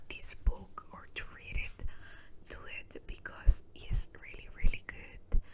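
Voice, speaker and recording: Someone whispers at a fairly slow pace with a Spanish accent. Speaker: ASMR creator. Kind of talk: casual chat. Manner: soft-spoken; halting.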